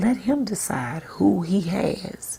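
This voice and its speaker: Soft-spoken and with a gentle tone, a woman talks at a very slow pace. Vocal fry runs through her voice. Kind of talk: devotional sermon-style talk to camera. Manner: soft-spoken, gentle.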